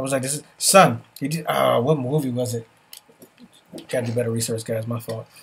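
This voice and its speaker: With a New York accent, a man speaks in an animated tone. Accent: New York City. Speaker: podcast host. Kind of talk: casual chat.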